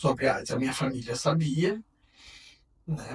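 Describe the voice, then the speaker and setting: The speaker talks at a very slow pace. The voice is somewhat breathy. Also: man. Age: 60s. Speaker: HIV activist. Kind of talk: testimony. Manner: halting.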